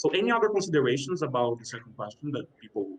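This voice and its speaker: The delivery is very fast and somewhat breathy. Its intonation is lively. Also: man. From Brazil. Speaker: panel chair, graduate student. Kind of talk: panel discussion. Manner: halting, many fillers.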